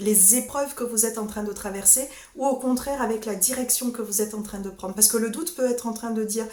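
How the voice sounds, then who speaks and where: A fairly high-pitched woman with fairly even intonation, audible room echo, and noticeable background noise. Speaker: sophrologist. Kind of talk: solo vlog talk. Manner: halting, repeats words.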